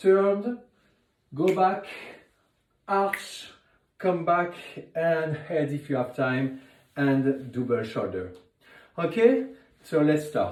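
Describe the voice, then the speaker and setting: A man's fairly high voice in a French accent, very slow with long, frequent pauses, lively intonation and audible room echo. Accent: French accent, noticeable. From France. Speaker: ballet teacher. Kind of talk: instructional tutorial. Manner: counting rhythmically.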